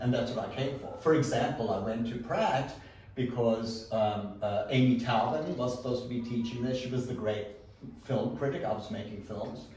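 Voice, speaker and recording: Over noticeable background noise and audible room echo, a man talks at a moderate pace with a medium pitch. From South Africa. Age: 60s. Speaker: photographer, artist. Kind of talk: artist talk with audience Q&A. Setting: art gallery with live audience. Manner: halting, many fillers.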